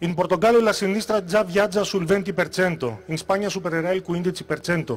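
This man talks at a fairly quick pace in a high pitch with ordinary pitch variation. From Greece. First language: Greek (speaking Italian). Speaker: political candidate; candidate. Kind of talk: campaign speech. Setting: stage with audience. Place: stage. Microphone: handheld.

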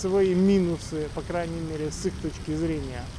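The man speaks at a fairly slow pace. The sound is dry with no echo, and there is light background noise. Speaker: YouTube vlogger and education agent in Australia. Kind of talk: monologue vlog. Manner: blunt, sharp. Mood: critical, indignant. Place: street. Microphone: phone near.

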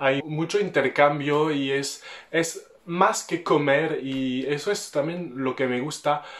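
A man speaks with a French accent and ordinary pitch variation. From France. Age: 20s. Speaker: French vlogger talking about Mexico. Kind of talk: casual talk to camera. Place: home room.

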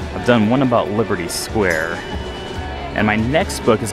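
A man talks at a moderate pace. Clear music plays in the background, and the sound is dry with no echo. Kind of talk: casual vlog chat. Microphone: phone near.

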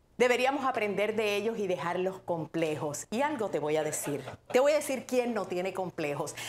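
A woman's voice with very wide pitch swings over light background noise. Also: moderate pace. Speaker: online show host. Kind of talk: casual livestream chat. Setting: livestream with guests in studio. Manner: animated, excitable. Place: home room. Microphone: lapel.

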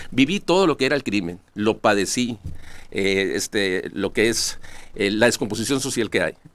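A man's voice at a moderate pace, dry and with no echo. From Sonora, Mexico (Cananea); Sonora, Mexico. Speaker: lawyer and political candidate; interview guest. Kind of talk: interview. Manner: halting, many repetitions. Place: studio. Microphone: podium.

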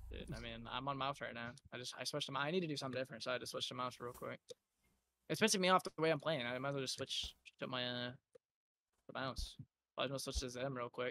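A man's medium-pitched voice, bright and sharp, at a very fast pace with ordinary pitch variation and long, frequent pauses. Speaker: video game streamer. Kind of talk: live gameplay voice comms. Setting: online voice chat while gaming. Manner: excitable, rapid callouts.

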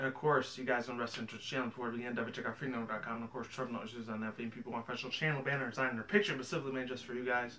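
A man talks quietly at a very fast pace with hardly any pauses. His intonation is fairly even, with light background noise. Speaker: YouTube reaction video maker; vlogger. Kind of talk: casual vlog-style reaction commentary. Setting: at home with a visitor present. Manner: quiet, keeping voice down; hesitant, many fillers. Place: home room. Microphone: webcam.

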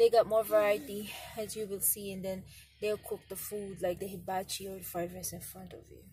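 Somewhat breathy and dark, mellow in tone, a woman talks at a moderate pace with fairly even intonation over light background noise. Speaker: family vlogger. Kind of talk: casual vlog chat. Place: car. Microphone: phone near.

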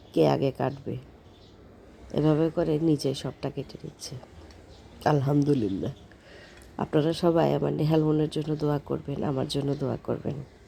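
A woman speaks with a very deep, low pitch and vocal fry. Her tone is dark and mellow, her intonation fairly even. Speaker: family vlogger, mother. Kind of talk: vlog voiceover narration.

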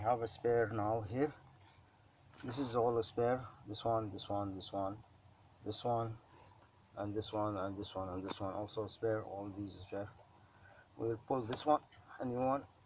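The speech is fairly slow, with fairly even intonation and long, frequent pauses. Noticeable background noise is present, and the sound is dry with no echo. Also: man, fairly low pitch for a man. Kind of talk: casual tutorial narration. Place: car. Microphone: phone near.

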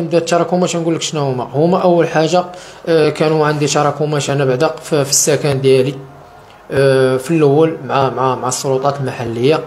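A man at a fairly high pitch, fairly quick pace and ordinary pitch variation, with light background noise. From Morocco. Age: 30s. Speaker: interviewee. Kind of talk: testimony. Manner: halting. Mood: sad, earnest. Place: home room. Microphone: handheld.

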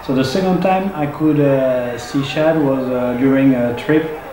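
There's audible room echo and noticeable background noise as a man speaks. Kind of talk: casual vlog commentary. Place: home room.

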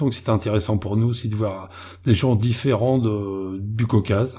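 A man's somewhat breathy, dark and mellow voice at a medium pitch and moderate pace. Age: 50s. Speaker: explorer on cryptid expeditions. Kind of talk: interview.

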